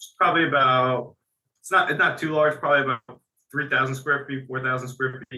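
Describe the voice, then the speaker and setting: Speaking at a fairly quick pace, a man with an American accent uses a fairly high pitch and monotone, flat intonation, with big swings in loudness. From Central New Jersey. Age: 20s. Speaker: warehouse operations worker. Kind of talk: interview. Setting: call.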